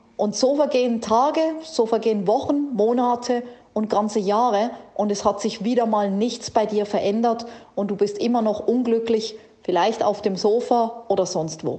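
Over noticeable background noise, a woman speaks in an animated, energetic tone at a fairly high pitch. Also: ordinary pitch variation, moderate pace. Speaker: podcast host and keynote speaker. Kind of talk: pep talk, motivational direct address.

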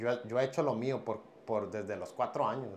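This man has a normal speaking voice, medium in pitch and moderate in pace. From Piedras Negras, Coahuila, northern Mexico. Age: 30s. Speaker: professional MMA fighter and boxer. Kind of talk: casual interview.

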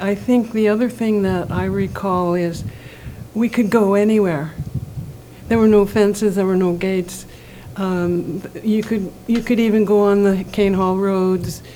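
Noticeable background noise sits behind a woman at medium pitch. She speaks at a fairly slow pace with fairly even intonation. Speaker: community member. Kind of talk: panel discussion, casual.

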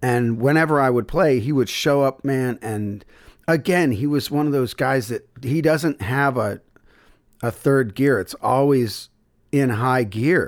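A man with a plain, everyday voice, medium in pitch, at a fairly slow pace with ordinary pitch variation, on a very clean recording with a silent background. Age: 50s. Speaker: blues musician and bandleader. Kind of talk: casual interview chat.

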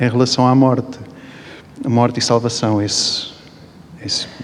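The intonation stays monotone and flat while noticeable background noise runs underneath. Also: man. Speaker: dancer. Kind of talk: post-show talk. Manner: halting.

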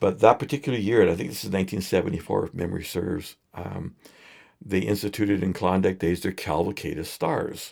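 Very deep, low-voiced man with a Canadian accent at a very fast pace, ordinary pitch variation, very clean recording and silent background. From Edmonton, Alberta, Canada. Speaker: singer-songwriter and photographer. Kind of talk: casual interview chat. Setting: studio.

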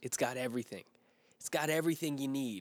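A medium-pitched male voice with ordinary pitch variation on a very clean recording with a silent background. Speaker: podcast host giving devotionals. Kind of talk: devotional talk. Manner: fast; stumbling over words.

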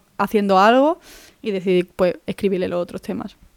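Speaking at a fairly quick clip, a woman keeps her pitch variation ordinary. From Málaga, Andalusia, Spain. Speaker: podcast host. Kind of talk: casual monologue. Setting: home.

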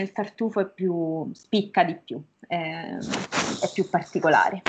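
The woman talks at a very slow pace. Her pitch variation is ordinary. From Umbria, Norcia (province of Perugia). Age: 20s. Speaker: language teacher and university student. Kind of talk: casual interview chat.

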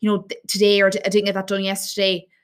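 The Irish accent comes through on a very clean recording with a silent background. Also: woman. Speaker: fitness coach and podcast host. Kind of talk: solo podcast talk with tips. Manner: fast.

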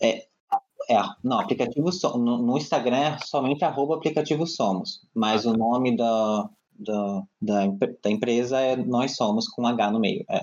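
An ordinary speaking voice from a man, medium-pitched, at a fairly slow pace, with very even loudness and ordinary pitch variation. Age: 20s. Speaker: architect and LGBT rights advocate. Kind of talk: casual chat. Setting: video call.

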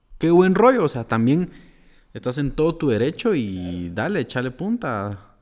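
On a very clean recording with a silent background, a man with a normal speaking voice talks at a medium pitch and a fairly slow pace. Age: 20s. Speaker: podcast co-host. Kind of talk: casual chat.

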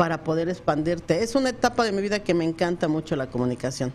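A woman speaks with a dark, mellow tone and a fairly low pitch. The background is quiet. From Mexico. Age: 40s. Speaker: businesswoman and former radio producer. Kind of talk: casual interview. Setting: radio studio.

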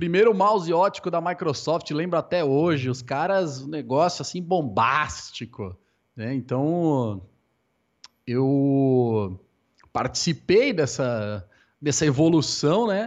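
This man's voice sits at a fairly high pitch and makes very wide pitch swings. His pace is very slow. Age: 20s. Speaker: esports caster. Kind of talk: casual interview.

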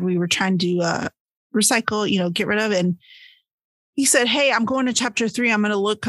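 A woman talks with ordinary pitch variation against a quiet background. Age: 40s. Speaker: book podcast co-host. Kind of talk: casual chat. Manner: animated.

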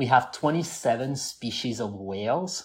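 In a very clean recording with a silent background, a man of medium pitch talks with a French accent. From southwest France (Toulouse area). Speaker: scuba diver and AI engineer. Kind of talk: casual interview chat.

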